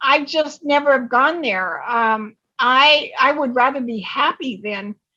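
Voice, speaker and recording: A woman projects a raised voice with a bright, sharp tone and a high pitch. She speaks very slowly with hardly any pauses and ordinary pitch variation. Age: 70s. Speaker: retirement coach. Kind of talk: interview. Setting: podcast.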